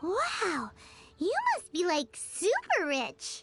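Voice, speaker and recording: An extremely high-pitched, put-on character voice speaks at a very slow pace with faint music in the background. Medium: game stream. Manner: bubbly, teasing.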